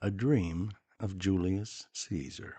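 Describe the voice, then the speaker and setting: Speaking at a very slow pace, a man uses a very deep, low pitch and a gentle, dark, mellow tone. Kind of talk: poetry reading. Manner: soft-spoken, slow, gentle.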